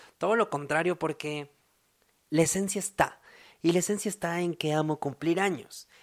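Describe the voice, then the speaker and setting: The speech moves at a moderate pace with ordinary pitch variation and long, frequent pauses, on a very clean recording with a silent background. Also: man, high pitch for a man. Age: 20s. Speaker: podcast host. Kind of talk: casual monologue.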